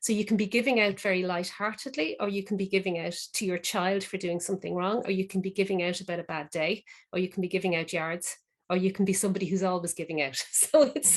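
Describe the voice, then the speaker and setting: Speaking very fast with an Irish accent, a woman uses a medium pitch with ordinary pitch variation. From Ireland. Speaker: crime novelist and event moderator. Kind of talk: panel discussion. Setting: online video call.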